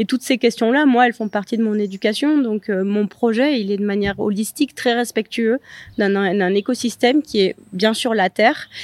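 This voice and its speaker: On a very clean recording with a silent background and a dry, close sound with no echo, a woman speaks at a moderate pace in a fairly high voice. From Provence, Luberon. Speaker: Michelin-starred chef. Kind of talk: interview. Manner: hesitant, many fillers.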